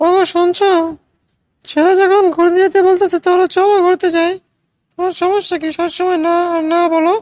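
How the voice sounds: A cartoonish character voice with a female sound and an extremely high pitch. Its intonation stays monotone and flat. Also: moderate pace.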